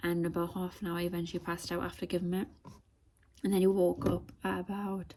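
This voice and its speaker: A woman with a dark, mellow tone and a somewhat breathy voice speaks very fast with fairly even intonation. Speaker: vlogger. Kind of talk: casual vlog chat. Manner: quiet, hushed.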